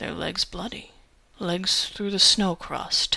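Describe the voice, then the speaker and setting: A woman uses a put-on character voice with a raspy quality. She speaks at a fairly slow pace. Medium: read story. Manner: polite.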